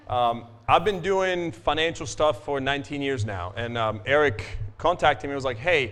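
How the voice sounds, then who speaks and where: Moderate pace and lively intonation from a man with a Croatian accent and a fairly high pitch. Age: 40s. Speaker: financial advisor. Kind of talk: business talk to audience. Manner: casual, filler-heavy.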